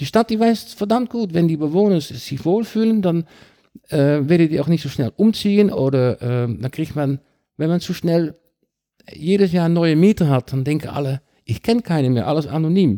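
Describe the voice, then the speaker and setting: Lively intonation in a dark, mellow tone with a Dutch accent, moderate pace, and dry, close sound free of echo. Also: man, fairly high pitch for a man. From Netherlands (Rotterdam). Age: 50s. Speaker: cycling advocate. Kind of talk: podcast interview. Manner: halting.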